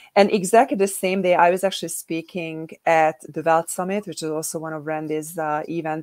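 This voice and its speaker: A woman with a European accent speaks at a fairly quick pace, her fairly low voice keeping a fairly even intonation. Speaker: co-author and publisher. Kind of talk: panel discussion at online book launch.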